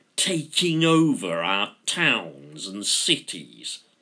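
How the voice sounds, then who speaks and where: Bright, sharp tone from a man at medium pitch, with vocal fry and very wide pitch swings, on a very clean recording with a silent background. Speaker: author reading own story. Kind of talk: fiction reading.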